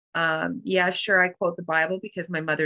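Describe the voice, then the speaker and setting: Vocal fry runs through a woman's very deep, low voice. The tone is bright and sharp, and the sound is dry and close with no echo. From Canada. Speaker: author and transformational coach. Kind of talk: interview.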